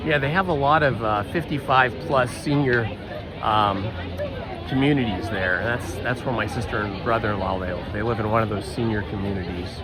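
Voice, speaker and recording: A man's medium-pitched voice with ordinary pitch variation at a moderate pace, with audible room echo and music in the background. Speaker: live streamer. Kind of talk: live stream chat. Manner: casual, halting with fillers.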